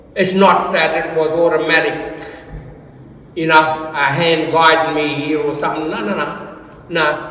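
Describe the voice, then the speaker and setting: Against noticeable background noise and audible room echo, a man with a fairly high voice speaks at a fairly slow pace. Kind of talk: artist talk. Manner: halting, repeats words.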